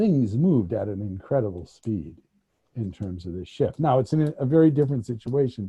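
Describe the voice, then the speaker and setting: This man has an American accent and a medium-pitched, somewhat breathy voice. His intonation is lively. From United States. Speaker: former diplomat. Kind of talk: panel discussion. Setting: video call. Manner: halting.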